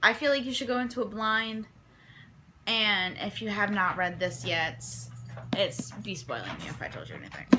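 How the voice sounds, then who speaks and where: A woman at medium pitch has a bright, sharp tone marked by vocal fry. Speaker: book vlogger. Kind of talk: casual vlog monologue. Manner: fast.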